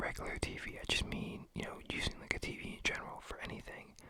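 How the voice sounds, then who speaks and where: A woman whispers at a moderate pace, with noticeable background noise behind her. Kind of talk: casual rambling thoughts. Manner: whispered, up close; chill, relaxed.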